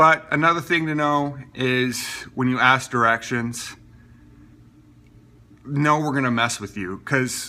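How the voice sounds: An American-accented man with a bright, sharp tone, fairly even intonation and a fairly slow pace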